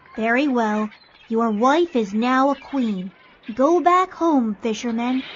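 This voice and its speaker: In a high-pitched, female-sounding put-on character voice, the speaker goes at a fairly slow pace. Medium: read story. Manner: formal, brief.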